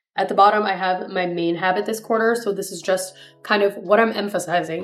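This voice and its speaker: Music plays in the background as a woman with a Spanish accent speaks at a fairly quick pace with fairly even intonation. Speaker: pre-med student vlogger. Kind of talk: casual vlog tutorial.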